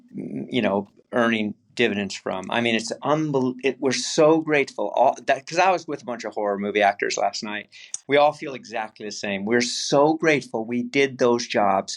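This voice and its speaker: With an unremarkable speaking voice, a man talks at medium pitch and a moderate pace, with ordinary pitch variation. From California. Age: 60s. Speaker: actor. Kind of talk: interview.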